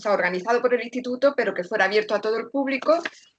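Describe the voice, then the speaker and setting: A woman speaks with an Andalusian accent and ordinary pitch variation. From Andalusia, Granada. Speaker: secondary school teacher. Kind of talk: panel discussion on video call.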